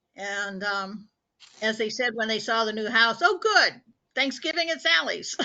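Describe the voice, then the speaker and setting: The speaker is a woman with a Midwestern US accent. Her pitch is fairly high. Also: lively intonation, fairly slow pace. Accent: US Midwest. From US Midwest (Indianapolis, Indiana). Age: 70s. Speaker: support group participant, cancer patient. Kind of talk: casual chat.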